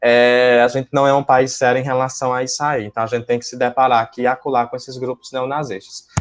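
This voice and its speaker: A man of medium pitch speaks at a fairly quick pace. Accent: northeastern Brazilian. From Brazil, Northeast. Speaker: school teacher. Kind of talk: lecture. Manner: hesitant, many fillers.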